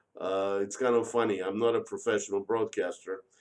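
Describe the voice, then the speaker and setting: A man at a moderate pace, with a monotone, flat intonation. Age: 60s. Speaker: car fleet manager, livestreamer. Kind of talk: casual live stream monologue. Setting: live stream. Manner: hesitant, many fillers.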